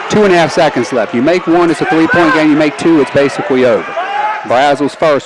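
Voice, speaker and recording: A man at a very fast pace, with ordinary pitch variation, a dry sound with no echo, and loud background noise. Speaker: play-by-play announcer. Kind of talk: live basketball play-by-play commentary, clipped fragments. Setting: courtside at home gym. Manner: rapid, clipped calls tracking each pass and shot; rising excitement at scoring plays and the closing free throws. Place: stadium. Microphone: headset.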